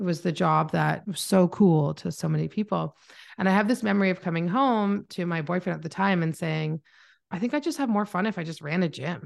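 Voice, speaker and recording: An unremarkable speaking voice with a Canadian accent, a fairly quick pace and ordinary pitch variation against a quiet background. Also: woman, fairly low pitch for a woman. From Canada. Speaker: marketing mentor and agency owner. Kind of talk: casual interview chat. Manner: introverted, calm, not bubbly.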